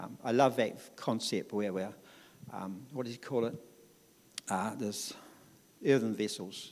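In a New Zealand accent, a man talks at medium pitch with ordinary pitch variation. His pace is fairly slow, with long, frequent pauses. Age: 60s. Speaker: church member. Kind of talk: testimony. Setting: church. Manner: talkative.

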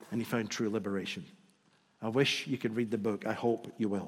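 This man has a Scottish accent. He talks at a fairly quick pace. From Scotland. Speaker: visiting preacher. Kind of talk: sermon. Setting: church.

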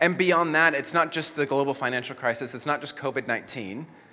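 A man at a fairly high pitch in a bright, sharp tone, at a moderate pace. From Mexico. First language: Spanish. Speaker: pastor. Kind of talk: sermon. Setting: church.

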